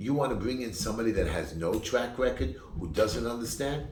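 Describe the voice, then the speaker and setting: With a New York accent, a man talks at a fairly low pitch amid noticeable background noise and audible room echo. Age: 50s. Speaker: political candidate. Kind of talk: campaign speech. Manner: animated.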